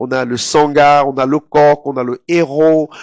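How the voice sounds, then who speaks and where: A man speaks at a medium pitch with a slight Cameroonian accent. The sound is dry and close with no echo, against a quiet background. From Cameroon, Douala. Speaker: TV presenter. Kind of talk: interview. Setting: studio. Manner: hesitant, many fillers.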